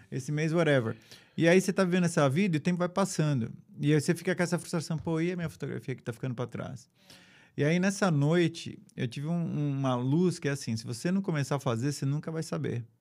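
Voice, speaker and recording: Speaking at a very fast pace, a man with a fairly high pitch comes through on a very clean recording with a silent background. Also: ordinary pitch variation. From São Paulo, Brazil. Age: 50s. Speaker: photographer. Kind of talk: casual interview.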